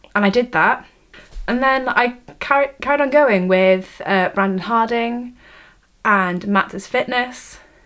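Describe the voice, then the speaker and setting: A woman speaks in a fairly high voice with a Welsh accent. Her pitch varies in an ordinary way. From Wales. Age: 18. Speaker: vlogger, university student. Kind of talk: vlog, casual talk to camera. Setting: bedroom, camera on tripod. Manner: halting, many fillers and restarts.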